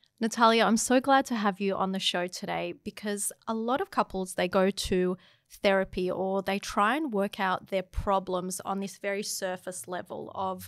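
Fairly even intonation comes at a moderate pace over a quiet background, with a dry sound and no echo. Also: woman, hardly any pauses. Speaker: podcast host. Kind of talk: podcast intro and interview question. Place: studio. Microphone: studio mic.

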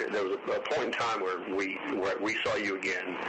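Over loud background noise, a man speaks at a moderate pace. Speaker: investigator conducting interview. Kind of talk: interview questioning. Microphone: old recording.

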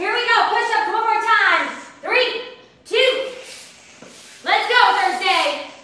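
Very slowly, a woman speaks in a raised, projected voice with fairly even intonation. Room echo is audible. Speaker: fitness instructor. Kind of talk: workout coaching cues. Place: home room.

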